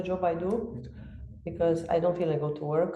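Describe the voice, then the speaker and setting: At a moderate pace and medium pitch, a woman speaks in a dark, mellow tone with audible room echo. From Romania. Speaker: fitness coach. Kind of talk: podcast interview.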